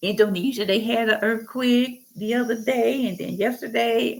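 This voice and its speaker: An animated woman's voice at medium pitch, with ordinary pitch variation and vocal fry. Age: 60s. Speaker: Bible teacher. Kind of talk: informal Bible teaching monologue.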